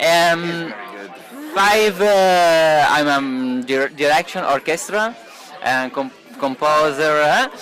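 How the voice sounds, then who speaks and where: A man talks at a very slow pace with a fairly high pitch and ordinary pitch variation. His loudness stays very even over noticeable background noise. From Italy, Turin. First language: Italian. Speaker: film director. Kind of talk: interview. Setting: party at a film festival. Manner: halting, many hesitations.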